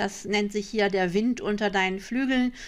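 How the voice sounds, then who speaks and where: A woman speaks at a moderate pace. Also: very clean recording, silent background. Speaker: online shop owner and card reading teacher. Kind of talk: screen-share tutorial. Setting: screen recording.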